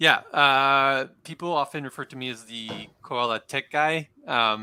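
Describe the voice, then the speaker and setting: With an American accent, this speaker has a bright, sharp tone, fairly even intonation, big swings in loudness and a fairly slow pace, heard as a dry, close sound with no echo in a very clean recording with a silent background. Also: man, fairly high pitch for a man. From half French, half American. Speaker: tech startup co-founder. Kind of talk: casual interview.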